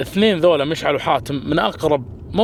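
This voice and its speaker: A man speaks loudly, his pitch swinging very widely. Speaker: vlogger. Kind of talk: casual vlog chat.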